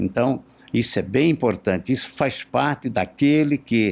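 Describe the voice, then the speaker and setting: His pitch varies in an ordinary way. The man speaks at a fairly slow pace. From Brazil, Pernambuco. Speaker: teacher. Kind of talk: podcast interview. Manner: halting.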